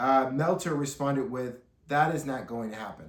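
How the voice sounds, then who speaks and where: A man with fairly high pitch and a somewhat breathy voice speaks at a moderate pace in an animated tone, with audible room echo. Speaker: wrestling news podcaster. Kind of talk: solo commentary podcast.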